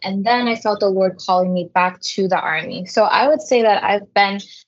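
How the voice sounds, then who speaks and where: Using an ordinary speaking voice, a woman talks at a fairly quick pace with ordinary pitch variation. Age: 20s. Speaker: youth ministry coordinator. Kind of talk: interview.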